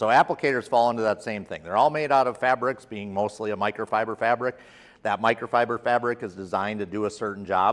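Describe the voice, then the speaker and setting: A man talks at a very fast pace. His pitch varies in an ordinary way, and the background is quiet. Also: medium pitch for a man. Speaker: product trainer. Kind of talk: lecture. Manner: loud.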